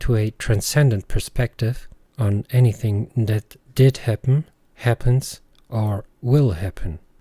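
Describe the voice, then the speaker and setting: In a German accent, a man speaks at a fairly slow pace, his medium-pitched voice dark, mellow, and somewhat breathy, with ordinary pitch variation and a dry, close sound with no echo. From Germany. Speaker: podcast host. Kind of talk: reflective monologue.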